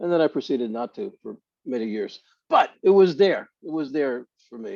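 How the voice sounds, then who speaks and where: With a Brooklyn accent, a man at a fairly high pitch speaks at a moderate pace with lively intonation, in a dry, close sound with no echo. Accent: Brooklyn accent, come back. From Brooklyn, New York. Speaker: author. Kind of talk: panel discussion.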